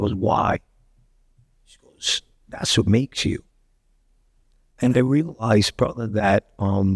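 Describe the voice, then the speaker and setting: Recorded with a dry, close sound and no echo, a man in a Brooklyn accent speaks at a fairly low pitch with ordinary pitch variation, big swings in loudness and long, frequent pauses. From Brooklyn, New York (Bensonhurst/Gravesend). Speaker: actor and director. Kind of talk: casual interview chat. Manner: animated, repetitive stammering.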